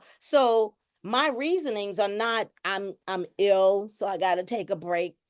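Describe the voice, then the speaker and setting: Against a quiet background, a woman with a normal speaking voice and lively intonation comes through with a dry, close sound with no echo. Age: 60s. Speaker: webinar participant in peer support training. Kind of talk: casual discussion in a virtual training.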